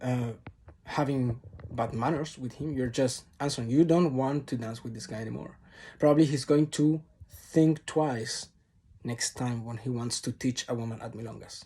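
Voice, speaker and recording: A man with a Spanish accent speaks at a moderate pace in a dark, mellow, somewhat breathy tone, with fairly even intonation and long, frequent pauses. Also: big swings in loudness. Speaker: tango teacher. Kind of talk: vlog monologue to camera. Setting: recording alone to camera. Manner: unscripted, off-the-cuff.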